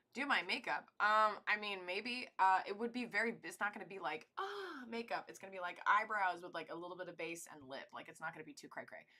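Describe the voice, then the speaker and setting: A woman's medium-pitched voice with an American accent, fairly quick with hardly any pauses, ordinary pitch variation and big swings in loudness. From US South, East Tennessee. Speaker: livestreamer and actress. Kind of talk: casual livestream chat. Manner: fast.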